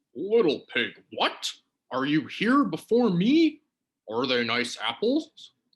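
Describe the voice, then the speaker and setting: A man's put-on character voice, high-pitched with very wide pitch swings, at a fairly slow pace. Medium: read story. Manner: menacing then wheedling.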